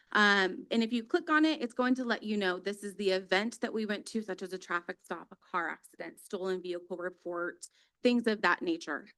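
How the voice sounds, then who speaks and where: Loud and fairly quick, a woman talks in a bright, sharp tone. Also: medium pitch for a woman, lively intonation, hardly any pauses. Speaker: police dispatch supervisor. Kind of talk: public presentation at council meeting. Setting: city council chamber.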